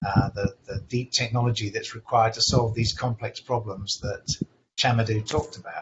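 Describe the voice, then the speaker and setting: At a moderate pace and medium pitch, a man talks in a somewhat breathy voice. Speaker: startup executive. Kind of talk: webinar panel discussion.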